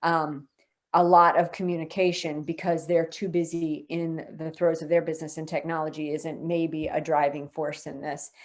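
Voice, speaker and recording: A woman uses a normal speaking voice at a fairly low pitch. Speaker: customer success expert presenting software features. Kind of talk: webinar presentation.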